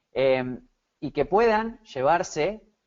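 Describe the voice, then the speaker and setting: A man with an Argentine accent speaks with lively intonation. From Argentina, Buenos Aires. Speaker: SEO consultant. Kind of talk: webinar presentation. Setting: online webinar. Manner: hesitant, many fillers.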